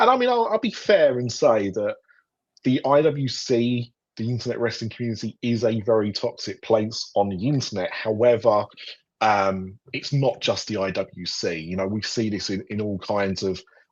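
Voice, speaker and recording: Against a quiet background, a man talks with a British accent. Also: medium pitch for a man, ordinary pitch variation, moderate pace. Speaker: podcast host. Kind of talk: casual panel discussion. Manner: hesitant, many fillers.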